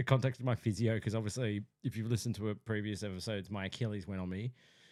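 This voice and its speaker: Very fast speech from a man with an Australian accent, fairly low in pitch, on a very clean recording with a silent background. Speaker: podcast co-host. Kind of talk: casual chat.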